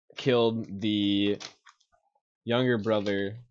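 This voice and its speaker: This man's voice sits fairly low and stays monotone and flat. Light background noise is present. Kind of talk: story recap narration. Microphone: video call.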